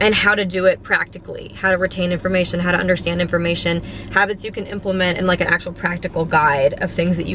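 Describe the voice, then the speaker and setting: Fairly quick, medium-pitched speech from a woman amid noticeable background noise. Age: 20s. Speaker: podcast host. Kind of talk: casual monologue. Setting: in a car. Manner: animated.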